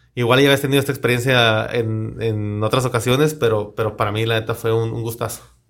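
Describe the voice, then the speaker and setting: A man talks at a very fast pace with hardly any pauses, his medium pitch held in a monotone, flat intonation. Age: 30s. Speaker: podcast host. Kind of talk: casual interview chat.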